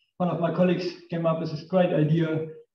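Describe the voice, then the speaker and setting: A man with a German accent talks at a fairly quick pace in a fairly high voice, with audible room echo. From northern Germany. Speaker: engineer, company technical director. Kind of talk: technical lecture. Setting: lecture room with audience.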